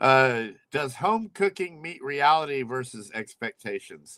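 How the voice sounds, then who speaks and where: His accent is American. This man's pitch swings very widely from phrase to phrase. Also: dry, close sound with no echo. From US, Oklahoma. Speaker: livestream host. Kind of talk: casual chat. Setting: home livestream. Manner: loud, carrying voice.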